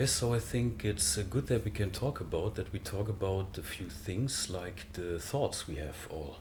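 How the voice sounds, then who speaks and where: Speaking with a German accent at a moderate pace, a man with a fairly low pitch and a somewhat breathy voice keeps his intonation lively and hardly pauses at all. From Germany. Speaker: spiritual speaker. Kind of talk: interview conversation. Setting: recorded in the Netherlands. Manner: halting, many fillers.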